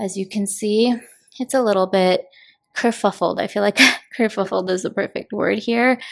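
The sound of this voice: Vocal fry runs through this woman's voice. She talks at a moderate pace.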